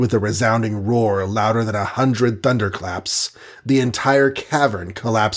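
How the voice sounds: This is a natural reading voice. The pitch moves in an ordinary way.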